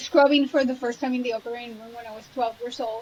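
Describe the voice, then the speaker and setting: Her pitch is high and her intonation fairly even. The woman speaks with a Spanish accent. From Colombia, Cali. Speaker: trauma surgeon. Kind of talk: interview.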